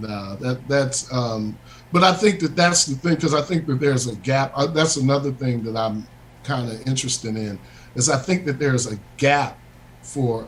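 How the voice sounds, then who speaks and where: A man speaks with an American accent in an unremarkable speaking voice. His pitch is medium with ordinary variation, and his pace is moderate. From US Midwest, Chicago suburbs. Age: middle-aged. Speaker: bassist, guest musician. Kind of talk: casual radio interview chat.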